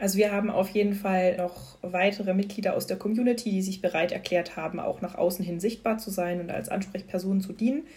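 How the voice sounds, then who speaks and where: A woman speaks at a fairly quick pace with hardly any pauses, in a normal speaking voice of medium pitch and fairly even intonation. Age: 30s. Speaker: employee, member of a workplace LGBTQ+ community. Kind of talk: casual interview.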